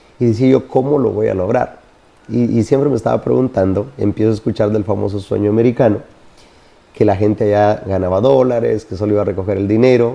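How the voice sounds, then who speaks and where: The speech moves at a very fast pace. Pitch varies in an ordinary way. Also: man, fairly low pitch for a man. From Honduras (rural). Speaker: network marketing entrepreneur. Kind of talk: interview.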